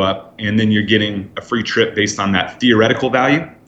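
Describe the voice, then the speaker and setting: Noticeable background noise sits behind this man. He speaks at a fairly quick pace with fairly even intonation. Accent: General American. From Northern California. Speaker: casino loyalty business founder, former casino host. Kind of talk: interview. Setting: phone call.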